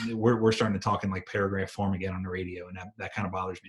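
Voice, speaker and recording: Somewhat breathy speech moves at a very fast pace with fairly even intonation. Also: man. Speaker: EMT instructor and firefighter. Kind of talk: lecture.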